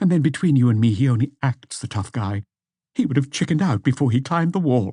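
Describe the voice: Against a quiet background, the voice is plain reading aloud with lively intonation.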